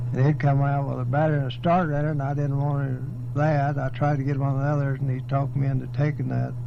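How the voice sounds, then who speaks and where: Over noticeable background noise, a man talks very fast in a West Texas accent, with hardly any pauses and monotone, flat intonation. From Texas Panhandle. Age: 80s+. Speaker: farmer and rancher. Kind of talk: oral history interview answer.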